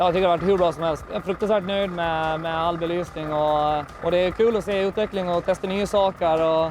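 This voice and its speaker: A man speaks at a high pitch with fairly even intonation and hardly any pauses. Noticeable background noise sits behind him. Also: fairly quick pace. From Gotland, Sweden. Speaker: truck driver. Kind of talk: casual interview.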